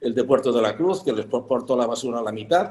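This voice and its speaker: His pitch swings very widely as the man talks at a fairly quick pace. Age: 70s. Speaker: hotelier. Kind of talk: panel discussion. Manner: halting, many fillers.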